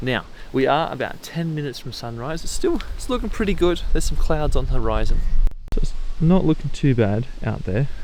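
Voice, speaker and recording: A man's fairly quick speech in an Australian accent, with audible room echo. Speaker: photography vlogger. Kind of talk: vlog to camera. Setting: outdoors at mountain lookout. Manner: speaking quietly; casual.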